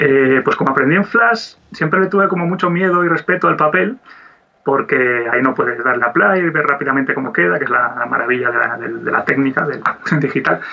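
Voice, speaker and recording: A man with a fairly high pitch talks at a fairly quick pace with lively intonation and very even loudness, over noticeable background noise. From Asturias, Spain. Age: 40s. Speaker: 2D animator. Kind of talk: interview.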